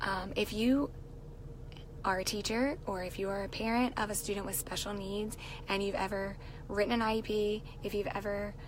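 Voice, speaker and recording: At a fairly quick pace, a woman talks at a medium pitch in a monotone, flat way, with audible room echo around her. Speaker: teacher and live-stream vlogger. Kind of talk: casual live stream chat. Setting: in a car.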